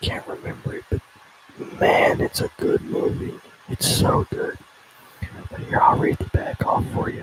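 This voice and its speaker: Moderately paced speech with an American accent, long, frequent pauses and noticeable background noise. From Tennessee, Upper Cumberland. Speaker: ASMR livestreamer. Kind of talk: casual live stream chat. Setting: live stream. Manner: halting when reading.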